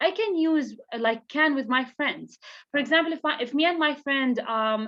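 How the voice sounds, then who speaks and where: Her pitch is high and varies in an ordinary way. This woman talks at a moderate pace. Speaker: English teacher. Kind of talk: online class lesson.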